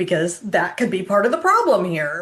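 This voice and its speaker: A woman speaks at a medium pitch. Hers is an unremarkable speaking voice. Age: 60s. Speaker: health coach sharing personal experience. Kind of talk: casual informative vlog. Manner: conversational with frequent fillers.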